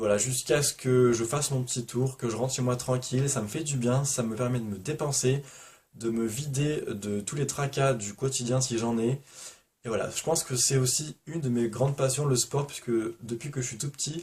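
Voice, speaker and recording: His unremarkable speaking voice holds a medium pitch for a man, a moderate pace and fairly even intonation. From Provence, southern France. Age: 20s. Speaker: booktuber. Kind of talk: casual vlog Q&A.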